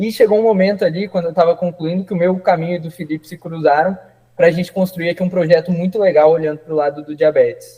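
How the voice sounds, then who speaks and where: A man speaks at a very fast pace in a high pitch. His intonation stays monotone and flat. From Paraná, Brazil (Ponta Grossa). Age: 20s. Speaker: doctor. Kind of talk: interview.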